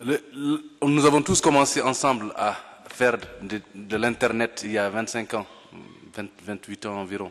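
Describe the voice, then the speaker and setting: A man's pitch varies in an ordinary way as he talks very slowly. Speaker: civil society leader; panelist. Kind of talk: formal panel speech. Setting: conference hall. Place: hall. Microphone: podium.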